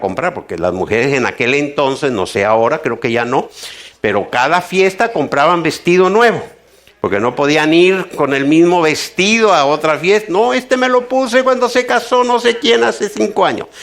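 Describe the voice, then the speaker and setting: A man with a fairly high pitch makes very wide pitch swings while noticeable background noise runs behind him. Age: 70s. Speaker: pastor. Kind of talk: sermon. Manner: halting.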